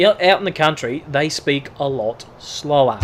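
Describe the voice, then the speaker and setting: A man with an Australian accent speaks at a fairly high pitch. Noticeable background noise can be heard. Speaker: gaming youtuber. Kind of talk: gameplay commentary. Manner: casual.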